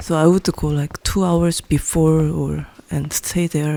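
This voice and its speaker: A woman's fairly low voice in a Korean accent, fairly slow and with fairly even intonation, in a dry, close sound with no echo. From South Korea, Seoul. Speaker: painter. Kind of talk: interview monologue. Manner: hesitant, many fillers.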